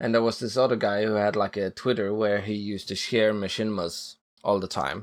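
Fairly low in pitch, a man with an ordinary speaking voice keeps his intonation fairly even on a very clean recording with a silent background. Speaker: machinima creator and filmmaker. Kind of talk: casual interview conversation.

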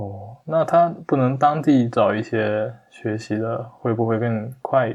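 Against a quiet background, a man speaks very slowly with hardly any pauses. His pitch is medium, with ordinary pitch variation. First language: a Chinese dialect (speaking Chinese). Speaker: software developer, hobby Japanese learner. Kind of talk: casual interview conversation. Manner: halting, many fillers.

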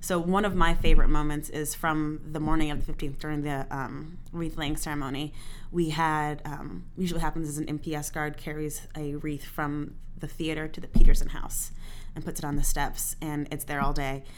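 A woman with a very deep, low pitch speaks at a moderate pace in a monotone, flat intonation, with big swings in loudness and audible room echo. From military family, moved often (Germany, Texas, Virginia). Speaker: theater programming manager. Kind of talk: casual chat.

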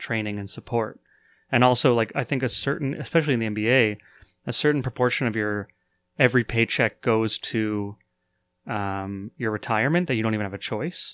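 With a Canadian accent, a man talks at a fairly quick pace with medium pitch and ordinary pitch variation. The recording is very clean and dry, close with no echo and a silent background. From Canada. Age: 30s. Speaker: podcast host. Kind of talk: casual chat. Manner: halting, many fillers.

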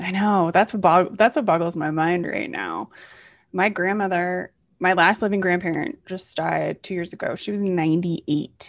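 In a quiet setting, a woman with an unremarkable speaking voice talks at medium pitch and a moderate pace, with ordinary pitch variation. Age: 40s. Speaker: podcast host. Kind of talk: interview.

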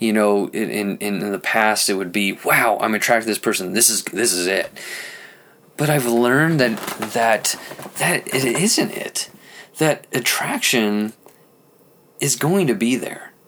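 Against noticeable background noise, a man talks at a fairly slow pace with ordinary pitch variation and long, frequent pauses. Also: medium pitch for a man. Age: 30s. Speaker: marriage and family therapist, podcast host. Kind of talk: personal monologue. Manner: halting, many fillers; improvised.

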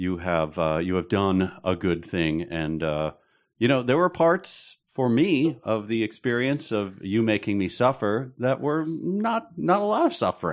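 At a fairly slow pace, a man with a Midwestern American accent speaks with very wide pitch swings against a quiet background. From Chicago.

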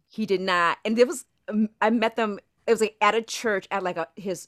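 With an American accent, a woman speaks in a plain, everyday voice at medium pitch and a moderate pace, with ordinary pitch variation and a dry, close sound with no echo. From Orlando, Florida. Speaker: actress. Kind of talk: casual chat. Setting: remote call from her shed. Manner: laughs often.

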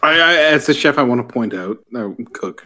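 Over music in the background, the speaker talks at a moderate pace. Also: man. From Canada. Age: 20s. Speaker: cook. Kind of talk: casual chat.

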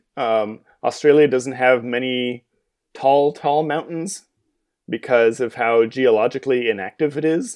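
A man with an ordinary speaking voice, medium in pitch, at a fairly slow pace with fairly even intonation against a quiet background. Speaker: podcast co-host. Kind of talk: casual chat.

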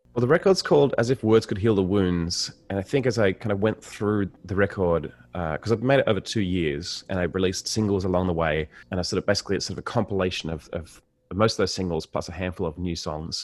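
Speaking with an Australian accent, a man has a very deep, low voice. He goes at a very fast pace with ordinary pitch variation. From Australia, inner Sydney. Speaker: singer-songwriter. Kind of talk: interview conversation. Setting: video call.

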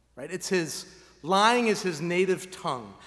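A high-pitched man's voice with audible room echo. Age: 40s. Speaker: pastor. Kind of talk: sermon.

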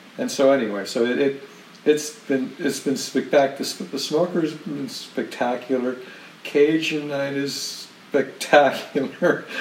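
Against noticeable background noise, a man with a fairly high pitch and ordinary pitch variation speaks at a fairly slow pace. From Canada. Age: 60s.

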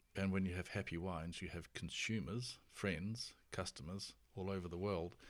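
In a New Zealand accent, a man speaks with a very deep, low pitch. His moderate pace pairs with fairly even intonation. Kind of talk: casual interview chat.

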